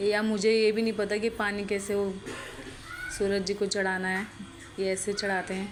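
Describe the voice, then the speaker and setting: A woman talks at a medium pitch and moderate pace, with long, frequent pauses and monotone, flat intonation. Audible room echo and noticeable background noise fill the recording. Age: young. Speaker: vlogger. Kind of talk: vlog narration over travel footage. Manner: halting, faltering voice; casual, conversational.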